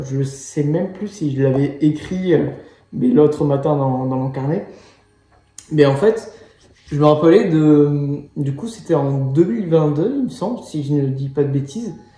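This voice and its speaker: Audible room echo surrounds a man with a fairly high pitch. He speaks at a fairly slow pace with ordinary pitch variation. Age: 20s. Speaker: life coach. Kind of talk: personal monologue to camera. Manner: hesitant, many fillers.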